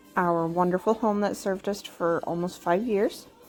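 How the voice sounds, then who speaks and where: The speech has ordinary pitch variation, with music playing in the background. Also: woman. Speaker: homemaker and mom vlogger. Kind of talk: casual voiceover for cleaning vlog.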